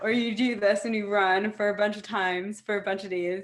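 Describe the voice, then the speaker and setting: A woman with a plain, everyday voice speaks at a medium pitch and moderate pace, her intonation fairly even. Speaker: fashion show founder. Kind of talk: casual interview.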